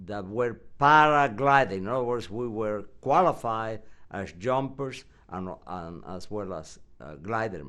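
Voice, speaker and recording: Here a man talks at a fairly slow pace with a fairly low pitch. His tone is bright and sharp, and his intonation is lively. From Yucatan, Mexico. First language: Spanish. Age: 70s. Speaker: WWII veteran; retired professor. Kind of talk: interview answer.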